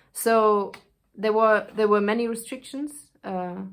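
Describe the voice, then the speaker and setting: A woman with a German accent speaks at a fairly slow pace. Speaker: actress. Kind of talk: casual spoken intro; reading aloud of a speech. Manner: halting, with fillers.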